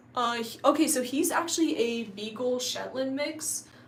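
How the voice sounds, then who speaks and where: A woman speaks at a high pitch. Audible room echo surrounds her voice. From US South, coastal North Carolina. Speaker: YouTuber. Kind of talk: casual live-stream Q&A. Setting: live stream. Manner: casual, filler-heavy.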